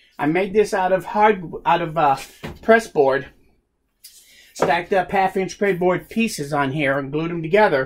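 At a moderate pace, a man talks with high pitch and ordinary pitch variation over light background noise. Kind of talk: tutorial. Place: workshop. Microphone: phone near.

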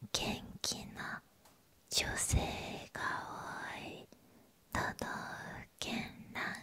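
A woman is speaking. She is whispering. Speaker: ASMR creator. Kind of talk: ASMR whispered ranking reading. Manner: whispered. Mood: calm, soothing. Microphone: studio mic.

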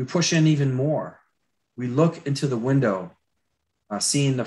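Against a quiet background, a man speaks with an American accent. He keeps a moderate pace and ordinary pitch variation. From Florida. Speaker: concept artist and attraction designer. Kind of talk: live drawing tutorial; lecture. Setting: video call.

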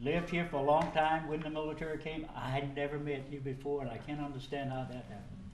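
Over noticeable background noise, a man with a Southern US accent and a fairly high pitch talks at a very fast pace, with hardly any pauses and fairly even intonation. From North Carolina, Wayne County. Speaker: city official. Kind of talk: ceremonial presentation. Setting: city council meeting.

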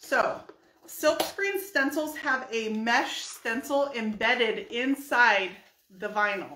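A woman speaks at a very slow pace with a raised, projected voice. Her pitch is high and her intonation lively. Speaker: furniture painter and brand ambassador. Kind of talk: live painting tutorial. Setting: livestream video. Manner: chatty.

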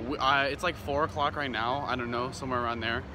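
Music plays in the background, and the sound is dry with no echo. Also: man. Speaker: theme park vlogger. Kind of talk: casual vlog chat. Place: street. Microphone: phone near.

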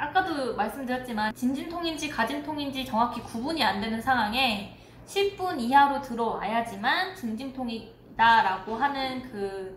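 High-pitched female speech, fairly slow and with lively intonation, over light background noise and audible room echo. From South Korea. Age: 20s. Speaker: family vlogger. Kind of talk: casual talk to camera. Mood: calm, reflective storytelling. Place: home room.

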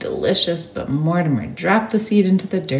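Someone is reading aloud in a natural voice.

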